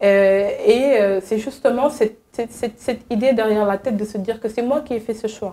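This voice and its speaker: A woman talks at a moderate pace with hardly any pauses. Her pitch is fairly high, her tone dark and mellow, and her intonation fairly even. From Senegal. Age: young. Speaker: advocacy agency worker, returnee from abroad. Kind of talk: interview.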